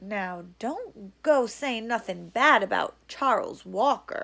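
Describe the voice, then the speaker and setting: On a very clean recording with a silent background, a woman in a put-on character voice drawls at a fairly slow pace with a fairly high pitch. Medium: read story. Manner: slow drawl.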